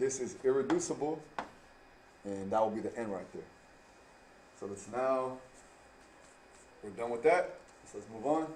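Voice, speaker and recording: A man speaks at medium pitch and a moderate pace, with lively intonation and big swings in loudness. Long, frequent pauses break up his speech, and audible room echo surrounds it. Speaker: math teacher. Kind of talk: tutorial.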